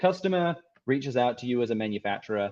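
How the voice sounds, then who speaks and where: This man speaks at a medium pitch with an Australian accent. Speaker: tech company founder and CEO. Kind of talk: presentation.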